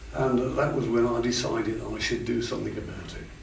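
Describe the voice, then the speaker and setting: Audible room echo and noticeable background noise are present. Through them, a man talks. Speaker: war veteran. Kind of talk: interview. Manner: halting.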